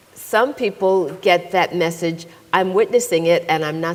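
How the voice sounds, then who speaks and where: A woman with a fairly low voice speaks with lively intonation. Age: 60s. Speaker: psychologist and author. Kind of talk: moderated panel conversation.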